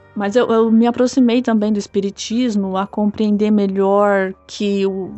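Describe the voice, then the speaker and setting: At a fairly slow pace, a woman speaks at a medium pitch with fairly even intonation. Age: 20s. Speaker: listener sharing a paranormal experience. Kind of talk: personal testimony. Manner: casual, somewhat halting with repetitions.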